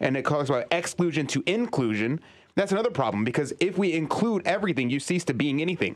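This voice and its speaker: Against a quiet background, a man talks at a very fast pace with very wide pitch swings and very even loudness. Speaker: co-host. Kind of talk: casual chat. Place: studio. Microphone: studio mic.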